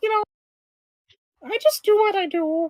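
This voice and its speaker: A put-on character voice, squeaky and extremely high, at a moderate pace. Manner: casual, matter-of-fact.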